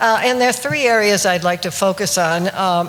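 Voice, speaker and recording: Over noticeable background noise, a woman talks at a medium pitch. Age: 80s+. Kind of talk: seminar talk to live audience. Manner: hesitant, many fillers.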